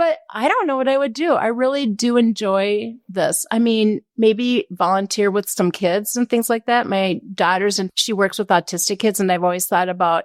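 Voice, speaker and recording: A woman with an unremarkable speaking voice and a fairly high pitch talks with ordinary pitch variation, very even loudness, and hardly any pauses, in a dry, close sound with no echo on a very clean recording with a silent background. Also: moderate pace. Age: 60s. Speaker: cabinet company representative. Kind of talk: casual chat.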